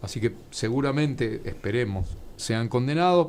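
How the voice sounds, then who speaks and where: A man's medium-pitched, lively voice at a moderate pace, a normal speaking voice. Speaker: author and historian. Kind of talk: interview.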